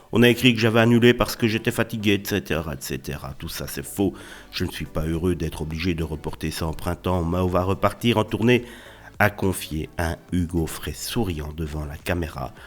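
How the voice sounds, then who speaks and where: Ordinary pitch variation marks this speaker. He is a man with a very deep, low pitch. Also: moderate pace. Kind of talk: celebrity news narration. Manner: casual.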